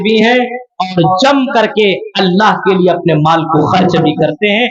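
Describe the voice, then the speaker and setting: Here a man talks in a high pitch. His pitch variation is ordinary. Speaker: Islamic scholar / preacher. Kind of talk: Islamic sermon at a religious conference. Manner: oratorical, preaching.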